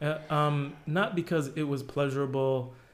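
Room echo can be heard around a man's voice. He speaks at a medium pitch in a flat monotone. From New Jersey, US. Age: 40s. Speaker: product designer. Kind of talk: casual interview.

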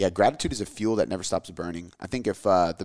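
With an animated tone and ordinary pitch variation, a man speaks in a dry, close sound with no echo. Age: 20s. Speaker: fitness podcast host. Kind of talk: casual chat.

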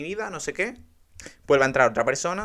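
A man's very fast, animated delivery with a bright, sharp tone and ordinary pitch variation, on a very clean recording with a silent background. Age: 20s. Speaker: podcaster. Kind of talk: casual monologue. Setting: bedroom.

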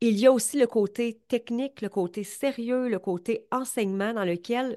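Against a quiet background, a woman speaks in a fairly high pitch with a dark, mellow tone and ordinary pitch variation. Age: 40s. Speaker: business coach. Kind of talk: motivational podcast monologue. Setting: recording while live on Instagram.

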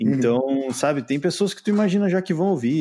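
Lively intonation and a fairly quick pace carry a dark, mellow tone. The recording is very clean, with a silent background. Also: man. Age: 30s. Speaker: podcaster, IT worker and musician. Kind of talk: casual interview chat.

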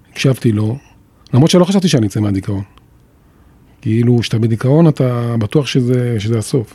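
In a dark, mellow tone, a somewhat breathy man speaks at a medium pitch and moderate pace with ordinary pitch variation and long, frequent pauses. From Jerusalem, Israel. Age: 50s. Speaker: former radio and TV broadcaster. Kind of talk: personal testimony in interview.

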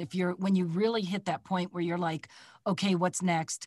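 A woman speaks with a Midwestern American accent. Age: 60s. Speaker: voice actor. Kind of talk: casual chat. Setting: video call.

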